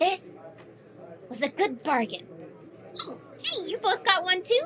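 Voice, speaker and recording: An extremely high-pitched, put-on character voice over clear background noise. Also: moderate pace. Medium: audio drama. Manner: bubbly, playful.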